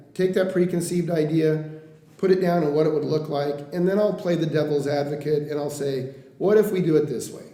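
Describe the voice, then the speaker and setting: Fairly high in pitch, a man speaks at a fairly quick pace with fairly even intonation. Audible room echo and noticeable background noise surround him. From Oregon coast (Coos Bay). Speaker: mortgage lender. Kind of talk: podcast interview. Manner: fast; casual, frank.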